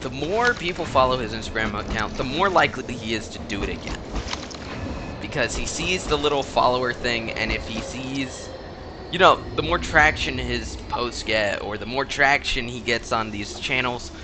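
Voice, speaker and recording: A man's animated, medium-pitched voice at a moderate pace with ordinary pitch variation, over music in the background. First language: Spanish. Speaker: gaming YouTuber. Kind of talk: gameplay commentary. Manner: casual, animated.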